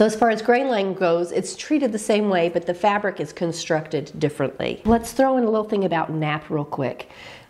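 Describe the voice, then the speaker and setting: Noticeable background noise fills the clip. Over it, a woman talks fairly quickly. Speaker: sewing teacher. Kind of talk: tutorial talk to camera.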